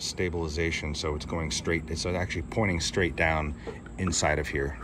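A man's very deep, low voice at a moderate pace with fairly even intonation, over noticeable background noise. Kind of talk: tutorial. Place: home room. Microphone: phone near.

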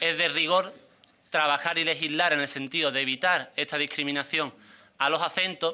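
In an Andalusian accent, a man speaks with a bright, sharp tone and fairly even intonation. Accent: southern Spanish (Andalusian). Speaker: member of parliament. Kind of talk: parliamentary speech. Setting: parliamentary committee. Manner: formal. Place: meeting room. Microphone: podium.

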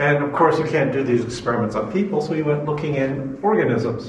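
A man with a fairly high pitch talks at a fairly quick pace, with ordinary pitch variation. Light background noise and audible room echo are present. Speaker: biology professor. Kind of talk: lecture. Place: classroom. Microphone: camera far.

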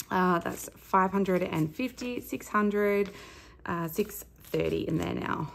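This woman has an Australian accent. She speaks at a very slow pace. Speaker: budgeting vlogger, stay-at-home mum. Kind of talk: casual vlog monologue. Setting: home recording. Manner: chatty, rambling with many fillers. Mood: relaxed, chatty.

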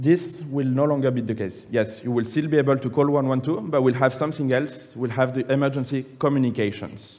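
Speaking with a French accent, a man moves at a fairly quick pace with hardly any pauses and fairly even intonation. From France (Nice); France. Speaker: public affairs manager presenting policy; conference presenter. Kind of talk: conference presentation. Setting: conference plenary room with audience. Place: hall.

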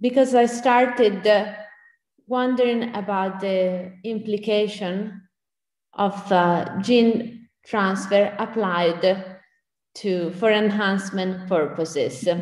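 A woman speaks at a very slow pace with fairly even intonation and a medium pitch. Audible room echo surrounds her voice. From Italy. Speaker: bioethicist. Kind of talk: Q&A discussion; lecture. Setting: pre-recorded video.

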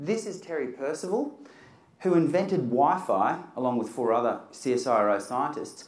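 A man speaks with an Australian accent at a moderate pace, his fairly high pitch making very wide swings. Audible room echo surrounds the voice. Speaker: science communicator and event MC; event MC. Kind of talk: live presentation with demonstrations. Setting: stage with audience. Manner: animated. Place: hall.

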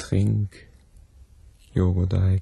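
A man speaks very slowly in a put-on character voice, low-pitched with a dark, mellow tone. There is vocal fry and a husky, rough edge, with little pitch movement.

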